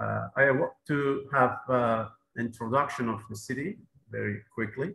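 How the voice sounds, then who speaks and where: Audible echo fills the room as a man talks fairly slowly. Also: ordinary pitch variation. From southern Iran. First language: Persian. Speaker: mayor; presenter. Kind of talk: conference presentation. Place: office. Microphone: video call.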